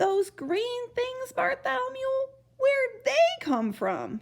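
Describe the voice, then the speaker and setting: A squeaky, put-on character voice from a woman, pitched extremely high and delivered at a fairly slow pace. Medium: read story.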